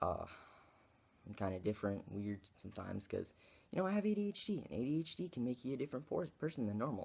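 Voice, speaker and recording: Speech comes at a very fast pace yet is broken by long, frequent pauses. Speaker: video blogger. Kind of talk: vlog rant to camera. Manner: halting, many fillers.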